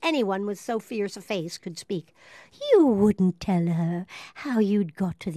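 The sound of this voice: An unforced reading voice. It is heard throughout.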